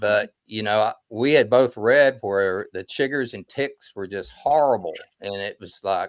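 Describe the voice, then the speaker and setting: With an American accent and a fairly low pitch, a man talks with hardly any pauses, ordinary pitch variation and big swings in loudness, in a dry, close sound with no echo. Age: 60s. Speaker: backpacker. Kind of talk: casual chat. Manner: halting, repeats words.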